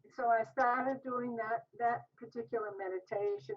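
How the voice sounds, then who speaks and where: A woman with a fairly high pitch speaks at a moderate pace in an ordinary speaking voice. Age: 60s. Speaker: diet program participant. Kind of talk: interview.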